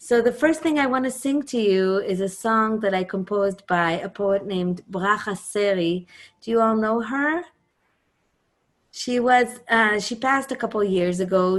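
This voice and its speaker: A woman with an Israeli accent speaks at a medium pitch with ordinary pitch variation against a quiet background. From Israel, Jerusalem. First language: Hebrew. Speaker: singer and composer. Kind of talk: talk introducing a music program.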